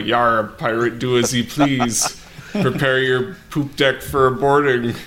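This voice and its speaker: Over clear background noise, a man puts on a character voice, keeping to a medium pitch and a fairly slow pace. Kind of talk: pirate speech. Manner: playful, mock.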